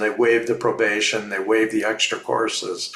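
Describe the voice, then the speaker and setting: Over noticeable background noise, a man with a Canadian accent speaks at a medium pitch with fairly even intonation. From Ontario, Canada. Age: 60s. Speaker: fluvial geomorphologist. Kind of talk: interview. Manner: repeats words, hesitant.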